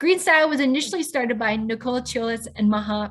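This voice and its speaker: A woman with a Midwestern American accent, fairly quick in pace and lively in intonation. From US Midwest, Pontiac, Illinois. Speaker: webinar host. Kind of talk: scripted introduction.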